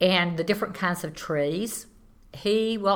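In a Southern US accent, this bright, sharp voice moves at a moderate pace with fairly even intonation. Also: woman. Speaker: landowner and tree farmer. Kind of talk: interview.

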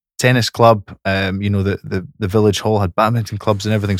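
On a very clean recording with a silent background, a man speaks at a medium pitch, the sound dry and close with no echo. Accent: Scottish. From Scotland, Fife. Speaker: podcast co-host and rugby coach. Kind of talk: casual chat. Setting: studio.

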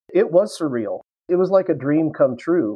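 This man talks with a US Midwestern accent. His pace is moderate. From Kansas, US. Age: 50s. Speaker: history professor and retired Marine pilot. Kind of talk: casual interview.

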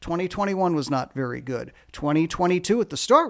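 Here is a man with a normal speaking voice and a fairly high pitch. His pace is fairly quick. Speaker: sports journalist and podcast host. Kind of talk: casual chat.

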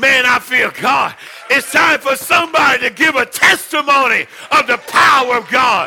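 Shouting over crowd noise in the background, a man with an extremely high pitch keeps very even loudness at a moderate pace with ordinary pitch variation. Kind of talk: sermon, preacher in full flow, exhorting the congregation. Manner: animated, fervent, call-and-response with exclamations.

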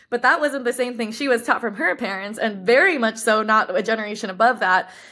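A woman with an American accent speaks fairly quickly in a fairly high, bright and sharp voice with fairly even intonation. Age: 20s. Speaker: brand co-founder. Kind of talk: interview.

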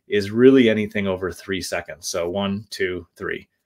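Recorded very cleanly against a silent background, a man with an unremarkable speaking voice talks fairly quickly at a fairly low pitch with fairly even intonation. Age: 40s. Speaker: business podcast host. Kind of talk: solo business talk. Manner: casual, with many fillers.

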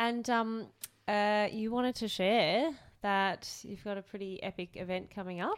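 A woman speaks with an Australian accent at a medium pitch. Her pace is fairly slow, with ordinary pitch variation. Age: 20s. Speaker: podcast co-host. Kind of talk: casual chat.

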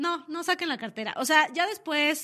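An animated woman's raised, projected voice, bright and sharp in tone, at a moderate pace. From Mexico City. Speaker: radio host. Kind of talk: casual radio talk show. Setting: radio studio.

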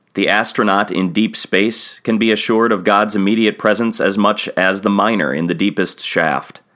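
At a moderate pace with hardly any pauses, the voice has a bright, sharp tone, very even loudness and ordinary pitch variation, in a very clean recording with a silent background. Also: man, fairly low pitch for a man. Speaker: pastor. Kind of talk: devotional bible reading and reflection. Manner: formal.

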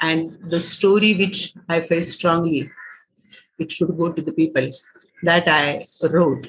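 Pitched fairly low and somewhat breathy, a woman talks very slowly with fairly even intonation. Her speech has long, frequent pauses. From Maharashtra, India. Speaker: writer, actor and theatre director. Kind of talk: interview conversation. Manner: hesitant with frequent fillers.

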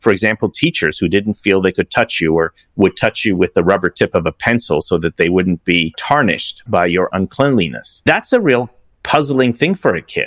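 A man speaks in a normal speaking voice at a fairly low pitch with lively intonation and a moderate pace. The sound is dry and close with no echo, on a very clean recording with a silent background. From Iran, then Toronto, Canada from age nine. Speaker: business advisor and investor. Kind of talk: interview testimony.

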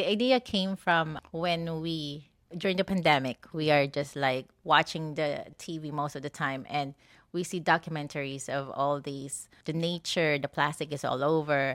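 A woman talks at a moderate pace with a very deep, low pitch and ordinary pitch variation, captured in a very clean recording with a silent background. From Philippines. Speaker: shop co-owner and physical therapist. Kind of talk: interview.

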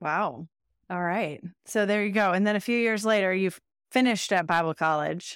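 A woman has a plain, everyday voice at medium pitch with ordinary pitch variation. She speaks at a moderate pace in a very clean recording with a silent background. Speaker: podcast host. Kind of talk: interview.

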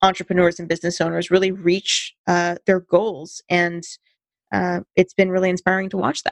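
A woman with an American accent speaks in an unremarkable speaking voice at medium pitch, keeping a fairly even intonation at a moderate pace, with a dry, close sound and no echo. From US West Coast, California. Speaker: business marketer, podcast co-host. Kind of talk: casual chat.

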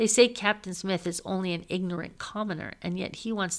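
Reading in a natural voice

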